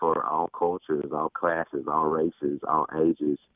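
At a moderate pace, a man talks with a Southern US accent. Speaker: pastor. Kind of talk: radio interview. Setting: studio.

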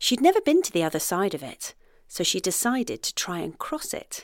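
Warm and animated, a woman speaks at a moderate pace on a very clean recording with a silent background. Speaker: storyteller. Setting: outdoor fairy trail audio guide. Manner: animated, playful storyteller; warm, gently whimsical pacing.

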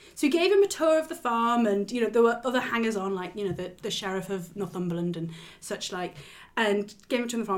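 A woman talks with a northeast English accent. She speaks at a very fast pace. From northeast England. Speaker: royal news podcast host. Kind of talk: casual chat.

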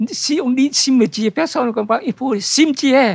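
A man is talking here. His pace is fairly slow. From Vietnam. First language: Vietnamese (speaking French). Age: old. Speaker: bookseller. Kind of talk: interview. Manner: halting.

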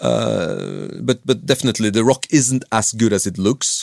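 With a Norwegian accent, a man with a fairly low pitch and vocal fry talks at a moderate pace, recorded very cleanly against a silent background with a dry, close sound and no echo. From Norway. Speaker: professional climber and mountain guide. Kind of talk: interview. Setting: studio.

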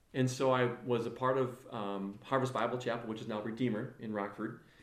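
With an American accent, a man talks at a moderate pace and medium pitch amid audible room echo. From northern Illinois, US Midwest. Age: 40s. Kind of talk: casual interview chat. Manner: animated.

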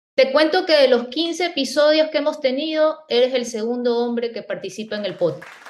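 A woman speaks at a moderate pace in a high pitch, her intonation lively. Crowd noise runs in the background. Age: 40s. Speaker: podcast host. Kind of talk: interview.

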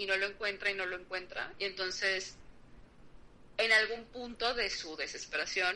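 Medium in pitch, a woman speaks with a Mexican accent. Her pace is moderate. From Mexico. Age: 30s. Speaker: podcast guest. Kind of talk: casual chat.

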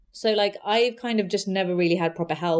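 A woman speaks with a London accent. Her pitch sits in the medium range. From west London (Southall, Hounslow). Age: 30s. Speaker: magazine founder and Pride organiser. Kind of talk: interview.

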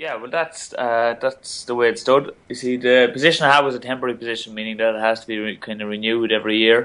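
A man with an Irish accent at a very fast pace, hardly any pauses, fairly even intonation and big swings in loudness, against a quiet background. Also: medium pitch for a man. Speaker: Olympic boxer and teacher. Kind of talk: interview. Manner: halting.

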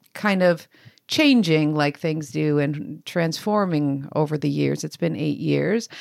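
A woman with a Canadian accent and an ordinary speaking voice talks at a moderate pace. Her intonation is lively, and the recording is very clean with a silent background. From Canada, Italian immigrant family. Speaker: fitness coach and co-author. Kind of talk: casual chat.

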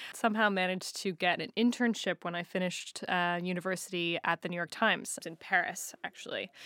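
A woman with an American accent speaks at a medium pitch in a bright, sharp tone, fairly quickly and with hardly any pauses, her intonation fairly even, on a very clean recording with a silent background and a dry, close sound with no echo. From United States. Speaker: media business executive. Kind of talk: interview. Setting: studio.

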